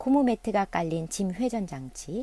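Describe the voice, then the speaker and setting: In a very clean recording with a silent background, a woman speaks at a fairly slow pace and medium pitch, her dark, mellow tone moving through very wide pitch swings. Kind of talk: audiobook reading of an essay. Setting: on a boat.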